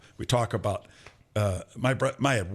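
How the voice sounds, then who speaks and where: An unremarkable speaking voice at a moderate pace, with fairly even intonation on a very clean recording against a silent background. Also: man. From Michigan, Flint. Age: 60s. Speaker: podcast host, former undercover investigator. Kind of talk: casual chat.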